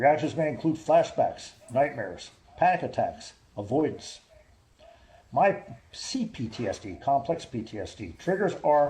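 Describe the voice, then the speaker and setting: A man with an American accent speaks in very wide pitch swings over noticeable background noise. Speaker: army veteran. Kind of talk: reading aloud. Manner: fast.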